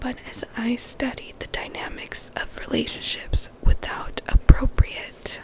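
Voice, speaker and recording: A woman whispers very slowly while noticeable background noise carries on behind her. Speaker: ASMR creator. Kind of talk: book passage reading. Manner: soft-spoken and whispered.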